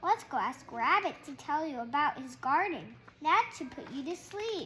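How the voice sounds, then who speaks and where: A woman puts on a character voice, high-pitched and at a moderate pace. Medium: read story. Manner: exuberant.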